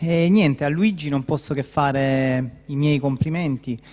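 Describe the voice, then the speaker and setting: A man with a fairly high pitch and a dark, mellow tone speaks at a fairly slow pace with ordinary pitch variation. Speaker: military officer presenting award. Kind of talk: award speech. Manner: hesitant, many fillers.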